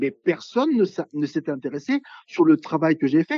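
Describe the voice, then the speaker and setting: High-pitched and fairly quick, a man's voice makes very wide pitch swings. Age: 60s. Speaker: veterinarian. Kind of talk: interview. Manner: formal.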